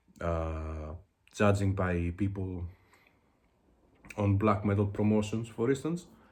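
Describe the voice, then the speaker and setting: In a Greek accent, a man speaks very slowly and somewhat breathily, with long, frequent pauses and ordinary pitch variation. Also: fairly low pitch for a man. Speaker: music video blogger. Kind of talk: casual video monologue. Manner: halting, many fillers.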